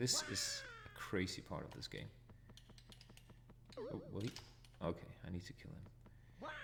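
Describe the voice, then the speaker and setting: This man speaks with a Danish accent. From Denmark. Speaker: retro gaming streamer. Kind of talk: live gameplay commentary. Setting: live stream.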